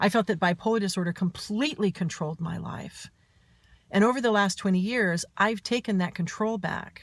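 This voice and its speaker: This woman's voice is somewhat breathy. She keeps a moderate pace, and her pitch variation is ordinary. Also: medium pitch for a woman, very clean recording, silent background. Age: 50s. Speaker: author and mental health speaker. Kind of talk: personal vlog monologue.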